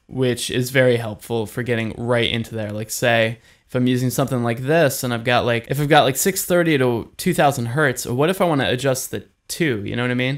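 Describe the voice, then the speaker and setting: On a very clean recording with a silent background, a man speaks at a fairly quick pace, medium in pitch, with ordinary pitch variation. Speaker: music recording tutor. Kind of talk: tutorial. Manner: fast; casual, filler-heavy.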